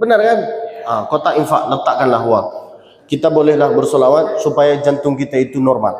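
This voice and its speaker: A man talks at a fairly quick pace with very wide pitch swings. Noticeable background noise and audible room echo surround his voice. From Saudi Arabia, Mecca. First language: Arabic (speaking Indonesian). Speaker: preacher. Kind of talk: sermon. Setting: mosque. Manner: not fluent in Indonesian.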